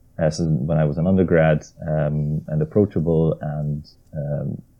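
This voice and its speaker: The speaker is a man. He has a very deep, low voice. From Hungary. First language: Hungarian. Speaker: maritime archaeologist and sailor. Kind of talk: interview.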